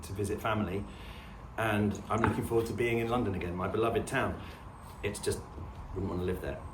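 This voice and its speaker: Noticeable background noise and audible room echo accompany a man with a southern English accent who talks at a fairly quick pace with fairly even intonation. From southern England, suburban/urban. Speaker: homesteading vlogger. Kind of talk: casual to-camera chat. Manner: relaxed, hesitant with fillers.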